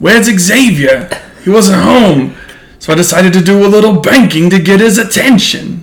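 A man's put-on character voice in a Brooklyn accent, gravelly and high-pitched, at a moderate pace with audible echo.

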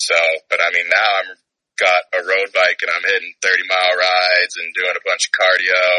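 The speech moves at a moderate pace. The sound is dry and close, with no echo. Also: man. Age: 20s. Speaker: former college hockey player. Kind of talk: interview. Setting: outdoors in his backyard.

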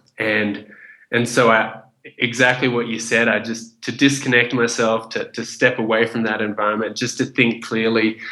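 A man speaks with an Australian accent and a bright, sharp tone. His intonation stays monotone and flat. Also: medium pitch for a man, moderate pace. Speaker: chef, kickboxer and speaker writing a first book. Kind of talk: interview.

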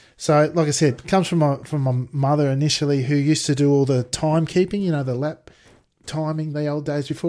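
A man with an Australian accent and a fairly high pitch talks at a very fast pace in a dark, mellow tone. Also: fairly even intonation. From Australia, Sydney. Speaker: sim racer and IT worker. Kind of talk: casual interview chat. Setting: video call.

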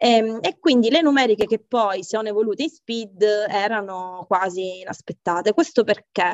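A woman with a strong Catanese accent speaks at a moderate pace, her pitch fairly high. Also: ordinary pitch variation. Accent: strong Catanese Sicilian. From Sicily, Catania. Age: 40s. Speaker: software engineer and tech team lead. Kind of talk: interview conversation. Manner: hesitant, many fillers and repetitions.

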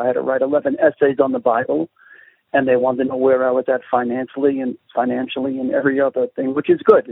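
The speaker talks at a fairly quick pace with a slight Brooklyn accent. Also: man. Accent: Brooklyn New York, slight to moderate. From Brooklyn, New York. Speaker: pastor and street evangelist. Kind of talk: radio interview, prayer.

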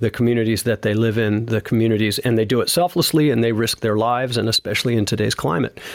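A man with an unremarkable speaking voice talks at a medium pitch, keeping his intonation fairly even. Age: 50s. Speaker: retired police sergeant and drummer. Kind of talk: casual interview.

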